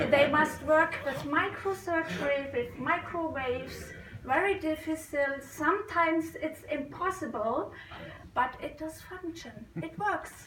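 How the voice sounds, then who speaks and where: An extremely high-pitched woman's voice with a non-native accent at a fairly slow pace, amid audible room echo and noticeable background noise. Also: ordinary pitch variation. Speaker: amateur radio operator. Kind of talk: conference talk. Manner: halting.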